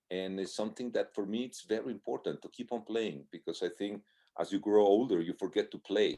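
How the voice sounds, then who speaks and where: A man talks at a fairly quick pace with a Spanish accent. The sound is dry and close, with no echo. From Mexico. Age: 60s. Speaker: marathon swimmer. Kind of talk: casual interview.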